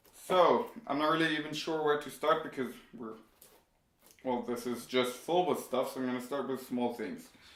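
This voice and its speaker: A man's fairly high-pitched voice at a moderate pace, with lively intonation, long, frequent pauses and audible room echo. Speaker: tech YouTuber. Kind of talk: unboxing video. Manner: casual, with hesitations.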